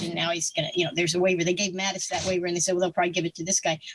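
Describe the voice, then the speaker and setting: Over noticeable background noise, a woman talks at a medium pitch with an American accent. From US South, North Carolina mountains. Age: 60s. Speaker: retired air force officer and writer. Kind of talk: interview conversation. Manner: halting, many fillers and restarts.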